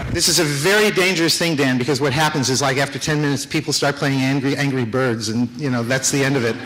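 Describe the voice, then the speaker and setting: A man with an American accent at a very fast pace, fairly high in pitch with ordinary pitch variation, very even loudness and hardly any pauses, amid noticeable background noise and audible room echo. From United States. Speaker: business executive and conference speaker. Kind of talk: conference talk. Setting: stage with audience. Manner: casual, with many fillers.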